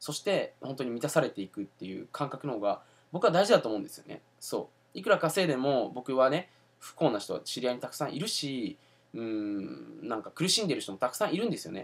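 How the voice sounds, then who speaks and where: Here a man speaks at a fairly quick pace. His pitch swings very widely and his loudness rises and falls sharply. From Japan. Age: 20s. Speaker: entrepreneur and self-help video host; self-help video host. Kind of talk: casual video monologue. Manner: casual with many fillers. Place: home room. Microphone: webcam.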